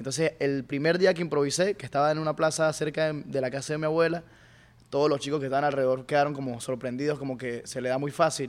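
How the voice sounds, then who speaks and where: Very fast delivery with fairly even intonation. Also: man, fairly high pitch for a man. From Venezuela, Mérida. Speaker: rapper. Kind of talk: casual chat.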